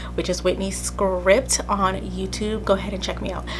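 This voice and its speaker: There is noticeable background noise and audible room echo. A woman talks at a moderate pace. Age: 20s. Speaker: podcast host. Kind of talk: casual chat. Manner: casual, chatty.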